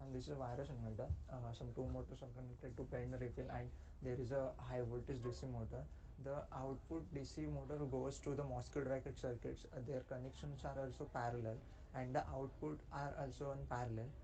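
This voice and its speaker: A quiet man speaking at a fairly quick pace, with audible room echo. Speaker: student presenting a project. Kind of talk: project presentation. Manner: halting, many fillers.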